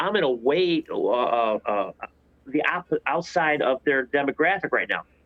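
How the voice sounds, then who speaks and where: A man with an American accent has a plain, everyday voice at a fairly high pitch, with lively intonation. He talks at a moderate pace, and the sound is dry and close with no echo. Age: 60s. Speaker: podcast host, biker. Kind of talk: casual chat.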